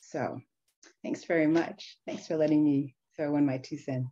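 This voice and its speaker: Over a quiet background, a woman speaks in a very deep, low voice with a dark, mellow tone and fairly even intonation. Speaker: longtime college staff member. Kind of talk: discussion comment. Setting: video call. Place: home room. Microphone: webcam.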